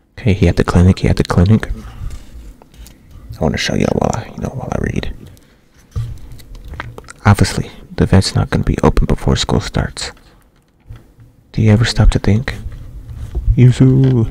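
A soft-spoken man whispering at a fairly quick pace, with long, frequent pauses, light background noise and a dry sound with no echo. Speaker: ASMR creator. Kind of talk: ASMR manga reading with casual commentary. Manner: soft-spoken, whispering. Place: home room. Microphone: studio mic.

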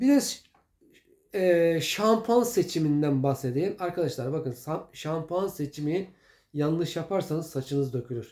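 A man's fairly high, dark, mellow voice with lively intonation at a fairly slow pace, in a very clean recording with a silent background. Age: old. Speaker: home remedy video maker. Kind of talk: casual tutorial. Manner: conversational, hesitant fillers.

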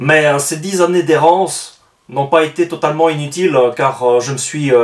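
His delivery is fairly slow, and the man's pitch varies in an ordinary way. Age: 30s. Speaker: aspiring novelist and book reviewer vlogger; book reviewer vlogger. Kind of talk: book review monologue. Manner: hesitant with frequent fillers. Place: home room.

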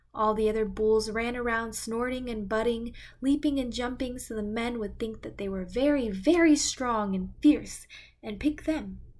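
With a warm, gentle tone and fairly high pitch, a woman speaks at a moderate pace with ordinary pitch variation. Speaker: volunteer storyteller. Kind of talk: children's picture book read aloud, storytime. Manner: warm, gentle, animated storytelling pace with child-directed expressiveness.

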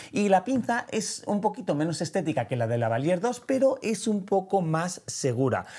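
A man with a high-pitched voice and a dark, mellow tone talks with very wide pitch swings and hardly any pauses against a quiet background. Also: moderate pace. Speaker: photography and video educator; video educator. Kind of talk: tutorial. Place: studio. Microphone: lapel.

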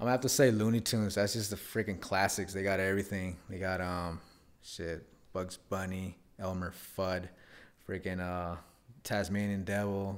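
Someone speaks at a moderate pace with fairly even intonation. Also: man, very deep, low pitch for a man. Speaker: podcast host. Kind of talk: casual chat. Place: home room. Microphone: studio mic.

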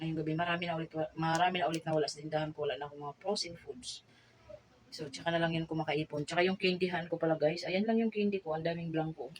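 Over noticeable background noise, a woman with a Bisaya accent talks at a very fast pace and a fairly low pitch. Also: fairly even intonation. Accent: Bisaya accent in Tagalog, stumbles on words. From Visayas, Philippines. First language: Bisaya (speaking Tagalog). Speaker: vlogger and sari-sari store owner. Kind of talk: casual vlog haul. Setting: at home store at night. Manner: halting, self-correcting.

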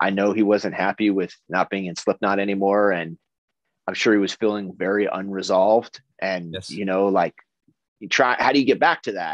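A man with an American accent talks at a moderate pace, his pitch fairly low with ordinary variation, in an ordinary speaking voice. The background is quiet. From United States. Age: 30s. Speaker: metal band vocalist; interviewee. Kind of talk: interview. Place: home room. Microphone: video call.

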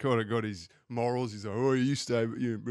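Against a quiet background, a man with an Australian accent speaks fairly quickly at medium pitch with fairly even intonation. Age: 40s. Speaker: podcast guest. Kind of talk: casual chat.

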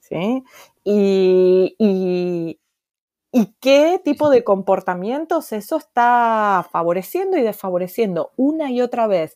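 At a very slow pace, a woman speaks with a fairly high pitch, lively intonation, and a dark, mellow tone. The recording is very clean with a silent background, and the sound is dry and close with no echo. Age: old. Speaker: psychologist. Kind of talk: interview.

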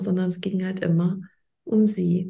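Vocal fry marks a woman's medium-pitched voice as she talks at a moderate pace. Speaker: podcast host and coach. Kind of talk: interview.

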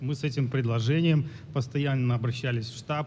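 The voice is somewhat breathy, with a dark, mellow tone and fairly even intonation at a moderate pace. Room echo is audible. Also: man. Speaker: former police officer, activist. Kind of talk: formal speech. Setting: conference stage with audience. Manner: halting.

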